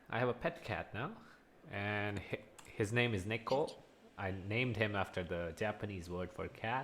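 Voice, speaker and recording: At a moderate pace, a man talks in a plain, everyday voice with a fairly low pitch. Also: ordinary pitch variation. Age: 20s. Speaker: online English teacher. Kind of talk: one-on-one conversation lesson.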